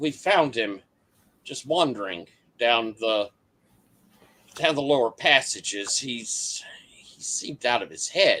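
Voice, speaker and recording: Someone performs a put-on character voice with lively intonation and big swings in loudness. The pace is fairly slow, broken by long, frequent pauses. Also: man, medium pitch for a man. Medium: actual play.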